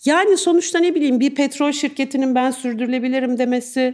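A woman speaks with lively intonation. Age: 50s. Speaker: journalist. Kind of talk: live podcast interview. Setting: live recording with audience.

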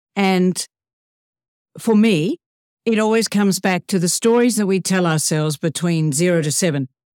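In a very clean recording with a silent background and a dry, close sound with no echo, a woman at a medium pitch talks at a moderate pace with ordinary pitch variation, very even loudness and long, frequent pauses. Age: 60s. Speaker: professional speaker. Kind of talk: podcast interview.

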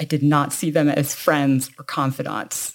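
A woman with a Canadian accent speaks at a very deep, low pitch. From Canada, Toronto. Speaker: podcast co-host, founder of a women's recovery community. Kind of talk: casual conversation.

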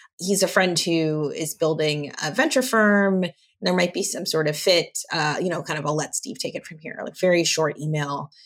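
A woman with an ordinary speaking voice, fairly low in pitch, with an American accent, ordinary pitch variation and a moderate pace. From Los Angeles, US. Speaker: venture capital partner. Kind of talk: interview.

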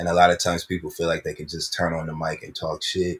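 A very clean recording with a silent background captures a man talking. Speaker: co-host. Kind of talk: casual banter podcast. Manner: animated, enthusiastic.

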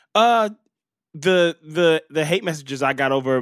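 An animated man at a fairly slow pace, with very wide pitch swings, a dry, close sound with no echo, and a very clean recording over a silent background. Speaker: comedian. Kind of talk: casual chat.

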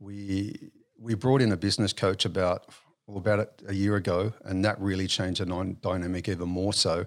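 Fairly low in pitch, a man with an Australian accent speaks at a moderate pace with fairly even intonation in a very clean recording against a silent background. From Western Sydney, Australia. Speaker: business owner. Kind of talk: interview. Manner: hesitant, many fillers.

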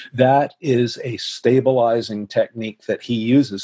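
In a normal speaking voice, a man speaks at a fairly slow pace and medium pitch. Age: 60s. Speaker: spine biomechanics professor. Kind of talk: interview.

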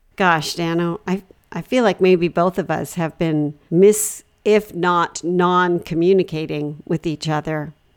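On a very clean recording with a silent background, a woman with a plain, everyday voice talks at a fairly slow pace, her pitch fairly low and her intonation fairly even. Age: 40s. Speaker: comedy podcast co-host. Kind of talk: improvised comedy chat.

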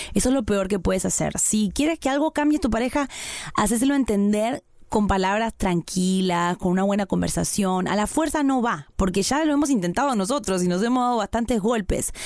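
This woman's voice sits fairly high and moves at a fairly quick pace. Her loudness stays very even throughout. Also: lively intonation. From Argentina. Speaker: podcast co-host. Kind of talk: casual chat.

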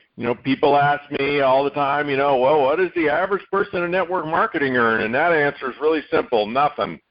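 In an ordinary speaking voice, a man with a fairly high pitch and ordinary pitch variation talks at a fairly quick pace with hardly any pauses. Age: 60s. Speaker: podcast host, network marketing veteran. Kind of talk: interview.

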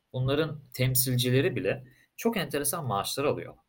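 A somewhat breathy voice at a moderate pace. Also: man. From Turkey, Istanbul. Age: 20s. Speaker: crypto company co-founder. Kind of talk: casual interview.

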